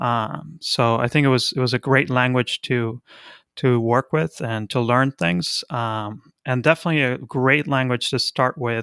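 A man with a Spanish accent, medium pitch and a bright, sharp tone, at a fairly slow pace with fairly even intonation. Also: very clean recording, silent background. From Argentina, Buenos Aires. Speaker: software consultancy founder. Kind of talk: casual interview.

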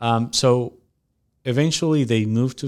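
A man with a Spanish accent is heard on a very clean recording against a silent background. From Mexico. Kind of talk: casual interview. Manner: halting, many fillers.

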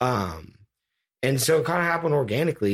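This man has an ordinary speaking voice and lively intonation. He keeps a moderate pace. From Bay Area, California. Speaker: music producer. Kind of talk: casual interview. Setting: home studio.

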